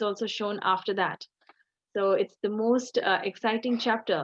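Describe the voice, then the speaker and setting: A woman with a fairly high pitch speaks in a plain, everyday voice at a moderate pace with fairly even intonation. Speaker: religious teacher. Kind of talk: online scripture class.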